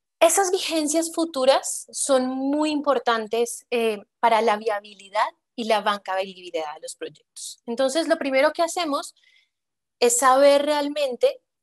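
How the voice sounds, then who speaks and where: A woman talks high in pitch with lively intonation and big swings in loudness. The sound is dry and close, with no echo. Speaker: public infrastructure finance expert, panelist. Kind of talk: panel discussion.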